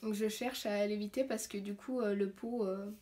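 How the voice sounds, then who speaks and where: Somewhat breathy, a woman speaks at a fairly high pitch and fairly slow pace in a monotone, flat intonation. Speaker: zero-waste vlogger. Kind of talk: tutorial. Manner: hesitant, many fillers.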